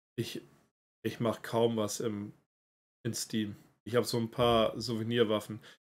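Speaking at a fairly slow pace, a man keeps a monotone, flat intonation broken by long, frequent pauses. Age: 30s. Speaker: esports organization representative; stream host. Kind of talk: casual livestream Q&A. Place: home room.

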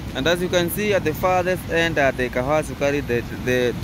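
At a moderate pace, a man speaks in a dry sound with no echo, over noticeable background noise. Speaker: travel vlogger. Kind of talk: casual vlog commentary. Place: street. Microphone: phone near.

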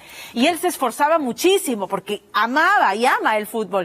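Her voice sits at a high pitch for a woman and swings very widely in pitch. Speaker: news presenter. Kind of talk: news presentation. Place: studio. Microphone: lapel.

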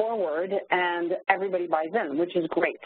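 The voice carries a French Canadian accent and ordinary pitch variation. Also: woman. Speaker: corporate training facilitator. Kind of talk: webinar presentation. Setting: online webinar call.

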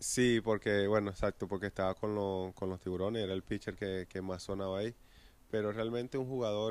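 A man's fairly low, monotone, flat voice with a Venezuelan accent at a fairly quick pace, dry with no echo. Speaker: professional baseball pitcher. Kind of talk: interview answer. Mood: relaxed, reminiscing. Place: stadium. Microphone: handheld.

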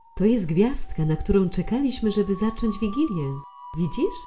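Music plays in the background as the speaker goes at a moderate pace. The pitch swings very widely while the loudness stays very even. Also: woman, medium pitch for a woman. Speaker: voice actor. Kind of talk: film dubbing.

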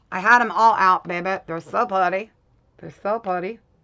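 Speaking at a moderate pace, a woman uses an animated tone. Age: 50s. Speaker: crafting YouTuber doing a shopping haul livestream. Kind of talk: casual livestream chat with viewers. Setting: home livestream. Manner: halting.

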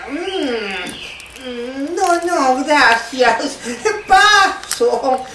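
A put-on character voice with a bright, sharp tone and lively intonation. The pace is very slow, with faint background noise.

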